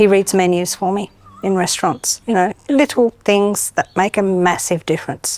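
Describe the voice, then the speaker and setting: A woman with an Australian accent at a medium pitch, in a dry, close sound with no echo. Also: ordinary pitch variation, moderate pace. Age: 60s. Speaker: aged care worker. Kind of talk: testimony.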